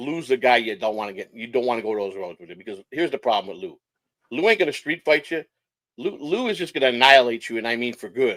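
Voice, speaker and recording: A man speaks at a very fast pace and a medium pitch. His intonation is lively, with big swings in loudness. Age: 60s. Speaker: online streamer guest. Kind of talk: casual chat. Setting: live stream. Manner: halting.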